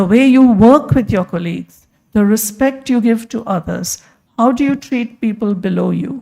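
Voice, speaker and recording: With normal rise and fall in pitch, this is a plain, everyday voice. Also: woman, fairly high pitch for a woman, moderate pace. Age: 60s. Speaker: physician and hospital leader. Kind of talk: conference talk.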